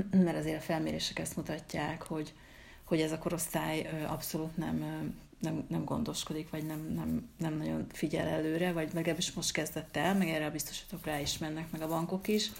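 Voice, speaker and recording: The voice carries vocal fry. Audible room echo is present. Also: woman. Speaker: podcast host, writer. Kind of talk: casual chat. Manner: halting, many repeated words.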